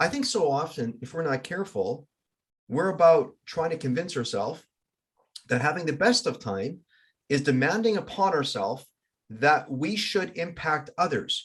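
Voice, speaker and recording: A fairly high male voice at a moderate pace, with very wide pitch swings and vocal fry. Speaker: life coach. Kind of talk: casual chat.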